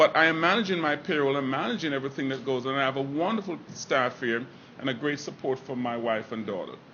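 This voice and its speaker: Someone talks at a very fast pace with ordinary pitch variation over noticeable background noise. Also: man, fairly high pitch for a man. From Jamaica. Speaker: restaurant owner. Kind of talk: public speech.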